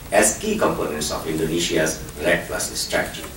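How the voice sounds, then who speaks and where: A man talks at a fairly quick pace. The room echo is audible, and there is noticeable background noise. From Philippines, Cordillera region. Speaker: panel moderator. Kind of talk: panel introduction.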